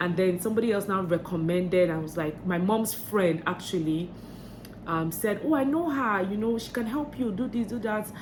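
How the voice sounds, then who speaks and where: Noticeable background noise and audible room echo surround a voice with lively intonation. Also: woman, medium pitch for a woman. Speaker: vlogger. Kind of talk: vlog tips talk. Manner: fast; hesitant, many fillers.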